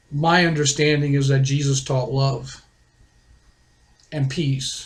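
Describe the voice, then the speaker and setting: A man speaks slowly in a fairly high, somewhat breathy voice. His intonation is monotone and flat. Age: 60s. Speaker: author and video blogger. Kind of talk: personal testimony monologue.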